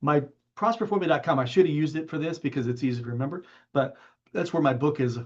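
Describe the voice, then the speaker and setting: A man speaks with ordinary pitch variation. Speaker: business coach. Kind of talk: webinar presentation. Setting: live online stream. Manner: fast; casual, filler-heavy.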